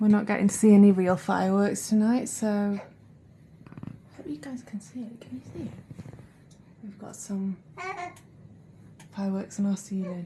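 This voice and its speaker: With noticeable background noise behind her, a woman speaks at a medium pitch and moderate pace, showing ordinary pitch variation, big swings in loudness and long, frequent pauses. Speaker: vlogger. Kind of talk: casual vlog. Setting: hotel room.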